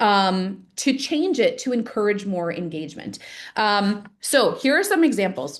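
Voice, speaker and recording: Very wide pitch swings mark this woman's speech. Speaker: real estate trainer. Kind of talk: training webinar. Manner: fast; casual, many fillers.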